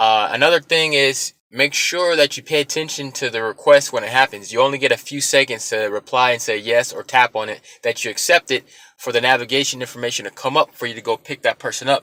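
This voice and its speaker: This man talks very fast at a medium pitch, his bright, sharp tone captured in a dry, close sound with no echo. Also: ordinary pitch variation. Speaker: rideshare driver, vlogger. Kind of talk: casual tutorial vlog. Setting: self-recorded on camera. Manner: casual, filler-heavy.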